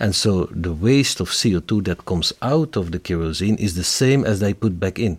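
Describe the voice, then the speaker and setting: With a Flemish accent, a man speaks at a fairly low pitch with lively intonation and hardly any pauses, in a very clean recording with a silent background. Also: moderate pace. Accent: Flemish Dutch. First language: Dutch. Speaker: company executive. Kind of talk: interview.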